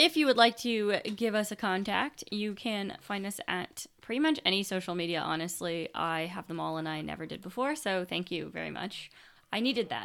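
A normal speaking voice from a woman with a Canadian accent, medium in pitch, with lively intonation at a moderate pace and hardly any pauses. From Canada. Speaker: podcast co-host. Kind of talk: casual chat.

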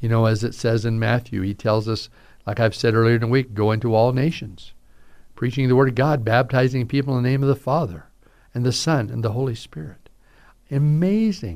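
A man with an American accent speaks at a medium pitch with ordinary pitch variation, recorded very cleanly against a silent background. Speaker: pastor. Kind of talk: radio sermon talk. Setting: radio broadcast.

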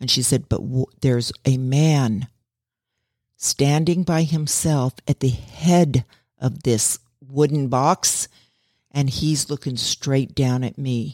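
In a very clean recording with a silent background, a voice with a dark, mellow, warm tone speaks at a very slow pace with fairly even intonation. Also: woman, very deep, low pitch for a woman. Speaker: podcast host. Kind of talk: true-crime narration. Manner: conversational, warm storytelling; folksy, easygoing, with laughs and asides.

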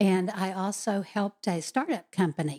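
With an American accent, a woman speaks at medium pitch in a dark, mellow tone with ordinary pitch variation, the sound dry and close with no echo on a very clean recording with a silent background. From Texas. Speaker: political candidate. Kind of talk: interview.

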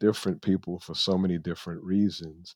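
The sound is dry and close, with no echo. A man with an American accent talks at a fairly quick pace. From New York (the Bronx). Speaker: lawyer. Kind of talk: interview. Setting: video call. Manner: soft-spoken.

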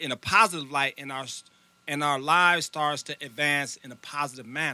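A man's voice, bright and sharp in tone, comes with an American accent. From US Midwest, Illinois near Chicago. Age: 40s. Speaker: youth mentor, nonprofit founder. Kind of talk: interview.

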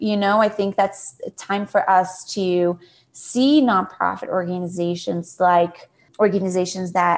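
Against a quiet background, a speaker with a Portuguese accent talks at a fairly slow pace. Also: woman. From Brazil, Sao Paulo. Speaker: nonprofit CEO. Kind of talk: interview.

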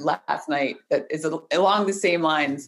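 A woman speaks with ordinary pitch variation. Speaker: podcast host. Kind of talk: casual interview.

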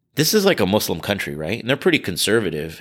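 A man with a Californian accent and a bright, sharp tone, on a very clean recording with a silent background. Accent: Californian American English. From US West Coast, California Bay Area. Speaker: charity director and prosecutor. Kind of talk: interview.

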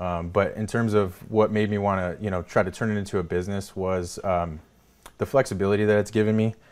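A man with an American accent speaks at a fairly quick pace in a fairly low pitch with monotone, flat intonation. The recording is very clean, with a silent background. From California (Salinas). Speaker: business owner. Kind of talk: interview. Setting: studio.

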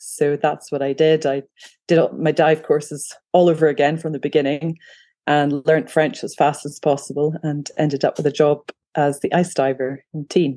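A woman with a Scottish accent speaks at a very deep, low pitch with a dark, mellow tone. Her delivery is monotone and flat at a moderate pace. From Scotland. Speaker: photographer and freediver. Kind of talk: casual interview.

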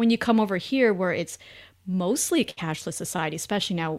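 A woman speaks with a Canadian accent in a plain, everyday voice, at a medium pitch and a fairly quick pace. Her intonation is lively, and the recording is very clean with a silent background. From Canada. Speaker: finance writer and podcast host. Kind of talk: interview conversation.

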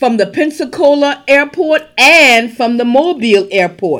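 At a fairly slow pace, a woman speaks in an animated tone with lively intonation. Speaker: podcast host. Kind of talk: podcast hosting with interview and conference promo.

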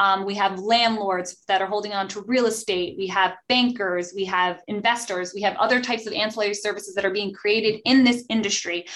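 A woman's ordinary speaking voice, medium in pitch, fairly quick, with hardly any pauses and fairly even intonation. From New Jersey. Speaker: podcast host, attorney. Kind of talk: professional panel discussion.

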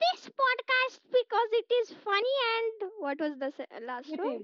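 A loud, shrill, put-on character voice at an extremely high pitch and a moderate pace.

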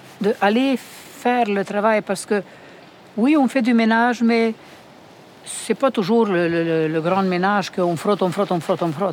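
A woman of medium pitch talks at a fairly slow pace with ordinary pitch variation, long, frequent pauses and very even loudness. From Romania. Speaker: home care worker. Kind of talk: interview.

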